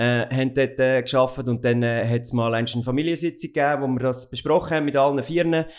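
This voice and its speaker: A man at a very fast pace with hardly any pauses and fairly even intonation. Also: medium pitch for a man. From Central Switzerland (Goldau, Schwyz). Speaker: company owner and managing director. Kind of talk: interview. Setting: office. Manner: hesitant, many fillers.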